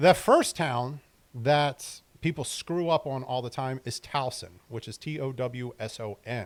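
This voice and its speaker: A normal speaking voice with an American accent, ordinary pitch variation, a fairly slow pace and big swings in loudness. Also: man, medium pitch for a man. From Maryland. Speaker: real estate agent. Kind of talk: tutorial. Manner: casual, conversational.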